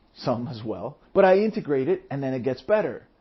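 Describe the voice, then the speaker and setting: Here a man's voice is somewhat breathy, with very wide pitch swings. He goes at a fairly quick pace. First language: Spanish. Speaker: podcast host, entrepreneur. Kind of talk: solo podcast monologue.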